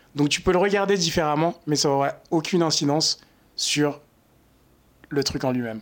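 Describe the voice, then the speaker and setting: A man at a fairly high pitch with ordinary pitch variation, a moderate pace, long, frequent pauses, and very even loudness. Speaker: marketing intern, student. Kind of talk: casual chat. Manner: halting.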